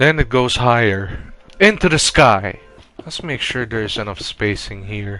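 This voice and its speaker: A man of medium pitch speaks at a fairly slow pace with lively intonation and big swings in loudness. Noticeable background noise runs underneath. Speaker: Minecraft builder YouTuber. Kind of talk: gameplay commentary. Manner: halting, many false starts.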